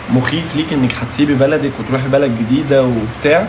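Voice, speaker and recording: A man talks at medium pitch with fairly even intonation. Audible room echo and noticeable background noise surround him. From Egypt, Alexandria. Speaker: live stream host, former reality show contestant. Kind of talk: live stream Q&A chat. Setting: live stream.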